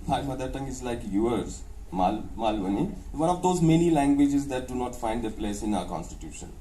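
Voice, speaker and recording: A man with a Maharashtrian accent, medium pitch, lively intonation and a fairly quick pace, amid audible room echo and noticeable background noise. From India, North Maharashtra village near Dhule. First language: Ahirani. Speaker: professor and author. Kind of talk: interview. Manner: hesitant, frequent uh fillers and restarts; code-switching English and Hindi.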